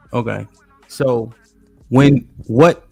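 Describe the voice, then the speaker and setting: The voice has fairly even intonation, with music in the background. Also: man. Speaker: live stream show host. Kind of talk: live panel discussion. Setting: live stream with chat. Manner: fast.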